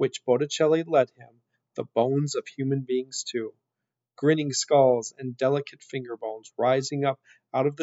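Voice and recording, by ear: Someone reads aloud in a natural voice, the intonation fairly even and the background quiet.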